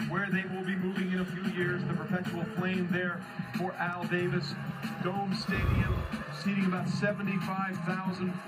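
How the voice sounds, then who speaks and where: Over background music, a man with a high pitch speaks at a moderate pace in a flat monotone. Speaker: TV sports host. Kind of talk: TV sports broadcast commentary.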